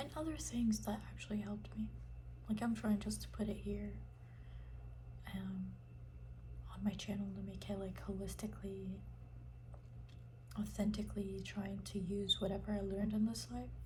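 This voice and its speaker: Soft-spoken whispering comes through noticeable background noise, broken by long, frequent pauses. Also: moderate pace. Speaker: ASMR creator. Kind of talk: ASMR whisper chat. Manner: whispered, soft-spoken.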